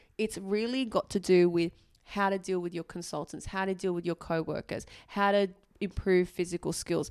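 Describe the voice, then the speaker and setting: Very clean recording with a silent background. A woman with an Australian accent speaks at medium pitch and a moderate pace. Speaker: doctor and podcast co-host. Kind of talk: casual chat.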